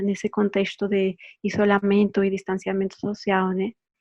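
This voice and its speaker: A woman speaks in a medium pitch and keeps a moderate pace. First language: Spanish (speaking Portuguese). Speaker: anthropology doctoral researcher. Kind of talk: academic presentation. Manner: halting with fillers.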